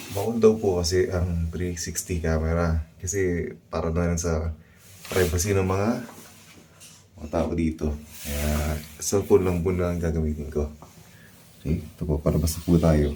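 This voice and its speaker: Amid noticeable background noise, a man with a very deep, low voice speaks at a fairly slow pace, with long, frequent pauses and fairly even intonation. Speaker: travel vlogger. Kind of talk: vlog hotel tour. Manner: casual, halting.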